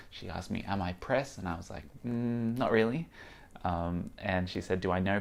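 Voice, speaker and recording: In an American accent, a man speaks at a moderate pace with a fairly low pitch. His pitch variation is ordinary. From Australia. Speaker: VR podcaster and vlogger. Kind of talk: vlog monologue. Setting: on location at a tech conference. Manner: halting, many fillers.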